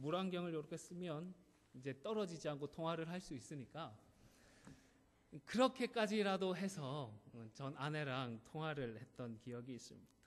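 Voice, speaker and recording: Using lively intonation and a fairly high pitch, a man with a slight Gyeongsang accent speaks at a moderate pace with long, frequent pauses. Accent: slight Gyeongsang accent remaining. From South Korea, Gyeongsang (Busan area). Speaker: pastor. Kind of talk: sermon.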